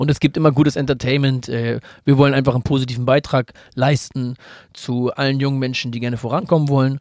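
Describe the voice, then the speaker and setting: A man talks at a very fast pace in a medium pitch with monotone, flat intonation. The sound is dry and close, with no echo. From Hamburg, northern Germany. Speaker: tattoo artist and real estate entrepreneur. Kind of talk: casual chat.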